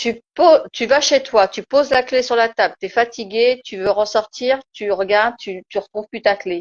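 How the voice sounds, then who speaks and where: A woman speaks in a Turkish accent, fairly slowly. Her voice is fairly high. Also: ordinary pitch variation. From Turkish background. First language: Turkish (speaking French). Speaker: spiritual live-stream host. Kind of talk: casual live-stream discussion. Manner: hesitant, many fillers.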